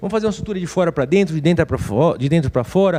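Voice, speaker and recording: At a very fast pace, a man speaks with a high pitch, a dark, mellow tone and lively intonation. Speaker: orthopedic surgeon. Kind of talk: lecture. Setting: webinar.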